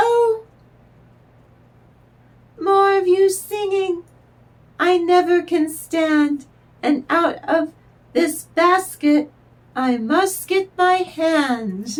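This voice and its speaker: In a put-on character voice, a woman talks at an extremely high pitch. Her pace is very slow, broken by long, frequent pauses. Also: lively intonation. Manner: annoyed, defiant.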